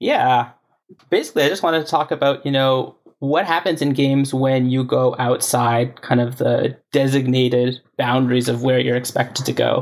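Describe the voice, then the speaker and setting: With a Canadian accent and an unremarkable speaking voice, a man talks at a moderate pace, his medium pitch following fairly even intonation. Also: very even loudness. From Canada. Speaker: software engineer. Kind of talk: casual chat.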